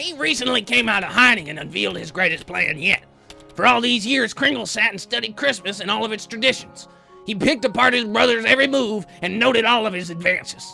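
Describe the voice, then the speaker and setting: Putting on a character voice, a man speaks at a very fast pace with a high pitch and ordinary pitch variation over faint music in the background. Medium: comedy sketch. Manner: blustery, crude.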